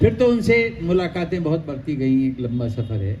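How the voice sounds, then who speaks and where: There is noticeable background noise as a man talks with lively intonation. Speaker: poet. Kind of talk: interview at literary festival.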